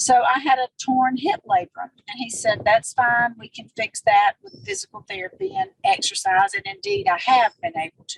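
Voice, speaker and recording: With a dry, close sound and no echo, a woman talks at a moderate pace in a high voice, her pitch swinging very widely and her loudness shifting a lot, with hardly any pauses. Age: 60s. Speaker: retired nurse, wellness product associate. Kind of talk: interview testimony.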